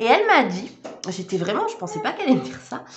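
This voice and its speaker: A woman speaks in a fairly high voice. Audible room echo and noticeable background noise surround her. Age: 30s. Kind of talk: casual vlog chat.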